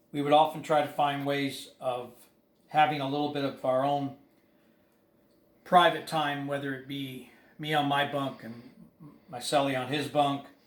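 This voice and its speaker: With audible room echo, a man speaks at a moderate pace in a fairly high, monotone, flat voice, with big swings in loudness and long, frequent pauses. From England. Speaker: former prisoner. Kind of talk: personal monologue to camera. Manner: halting, with fillers.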